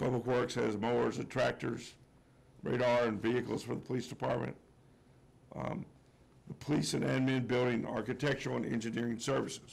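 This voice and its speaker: Talking at a fairly quick pace with vocal fry, a man leaves long, frequent pauses. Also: medium pitch for a man, fairly even intonation. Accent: American. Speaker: general manager presenting budget. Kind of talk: budget presentation at public hearing. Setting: public meeting room with audience. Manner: hesitant, many fillers.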